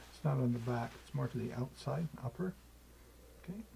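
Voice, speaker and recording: A man speaks at a moderate pace with ordinary pitch variation. Noticeable background noise runs underneath. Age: 70s. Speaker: qigong teacher. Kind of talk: tutorial. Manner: halting.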